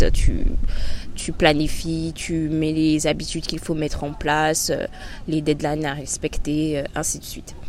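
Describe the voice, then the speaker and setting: Fairly slow speech with audible room echo and noticeable background noise. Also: woman. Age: 20s. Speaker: podcast host. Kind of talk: personal monologue. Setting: outdoors by a river. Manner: hesitant, many fillers.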